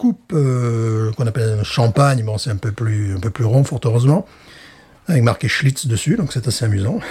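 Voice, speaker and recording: A man talks at a moderate pace in a medium pitch with ordinary pitch variation. His tone is dark and mellow, and somewhat breathy. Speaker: podcast co-host, beer reviewer. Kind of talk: casual chat. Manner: animated.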